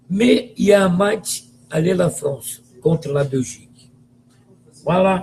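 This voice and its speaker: A man with a Brazilian accent speaks at a high pitch with lively intonation. His pace is very slow, with long, frequent pauses. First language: Portuguese (speaking French). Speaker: football commentator. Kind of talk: video monologue, football opinion rant. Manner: animated; halting.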